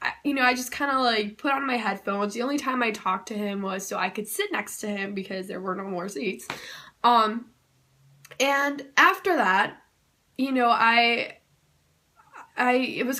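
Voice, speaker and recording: Loud woman's voice, high-pitched, with lively intonation. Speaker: YouTuber. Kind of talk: personal storytelling. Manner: casual with many fillers.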